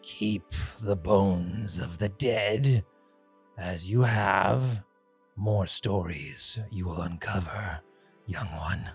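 In a put-on character voice at a fairly low pitch, a man speaks at a very slow pace with long, frequent pauses. Faint music plays in the background. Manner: wise, storytelling.

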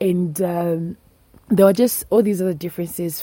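A woman's dark, mellow tone in a Zambian accent, with fairly even intonation. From northern Zambia. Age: 20s. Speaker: food scientist, activist. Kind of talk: personal storytelling.

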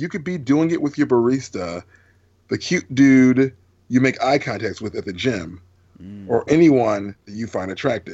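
A man with a medium pitch speaks at a moderate pace. His intonation is lively, and his loudness swings widely. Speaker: podcast host. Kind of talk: casual chat. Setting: video call. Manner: animated.

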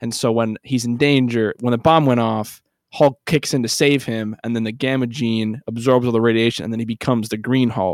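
A man with an unremarkable speaking voice and a medium pitch talks at a moderate pace, the sound dry and close with no echo. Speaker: podcast host. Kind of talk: casual comedic podcast banter. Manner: joking, playful.

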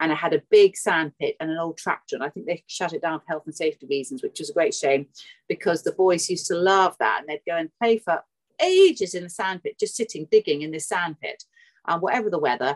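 At a very fast pace, a woman talks with a British accent. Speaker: book editor and home-educating mother. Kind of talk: casual interview.

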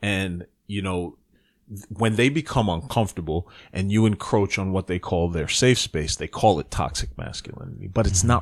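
The speaker has an American accent and lively intonation at a moderate pace. The recording is very clean, with a silent background. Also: man. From US Northeast, the Bronx, New York. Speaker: podcast co-host. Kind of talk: casual chat.

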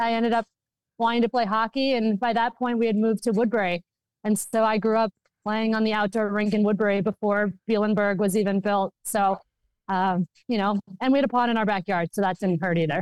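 A normal speaking voice with an American accent, fairly even intonation and very even loudness. The sound is dry and close, with no echo. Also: woman, fairly high pitch for a woman, fairly quick pace. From Minnesota, US. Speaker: hockey executive and former lawyer. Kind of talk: interview answers.

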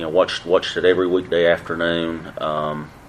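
A man's very deep, low voice at a fairly slow pace, with noticeable background noise. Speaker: panelist. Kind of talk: panel discussion.

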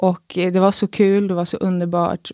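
Her voice has a dark, mellow tone and a fairly low pitch. The woman keeps a moderate pace. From Sweden, Skåne (Kristianstad). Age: 20s. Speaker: guest sharing faith testimony, new mother. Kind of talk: testimony. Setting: studio.

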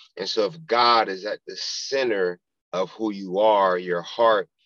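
With an American accent, a man speaks at a fairly slow pace and fairly low pitch, with ordinary pitch variation, in a normal speaking voice. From South Florida (Pompano Beach). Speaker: football chaplain, former pro football player. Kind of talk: casual interview, testimony.

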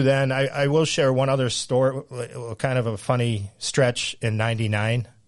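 Against a quiet background, a man talks at a moderate pace in a plain, everyday voice, medium in pitch with fairly even intonation. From Central Massachusetts. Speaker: high school golf coach. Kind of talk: casual interview chat.

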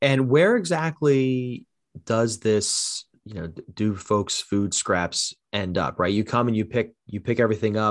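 Talking at a fairly slow pace, a man uses a fairly low pitch with ordinary pitch variation. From South Jersey. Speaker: podcast host. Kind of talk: scripted narration; interview. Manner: halting, many fillers in conversation.

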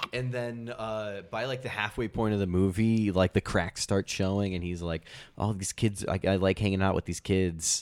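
With an American accent, a man with an ordinary speaking voice talks at a fairly low pitch and moderate pace, his intonation fairly even, in a dry, close sound with no echo. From US upper Midwest. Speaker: podcast co-host. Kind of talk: casual chat.

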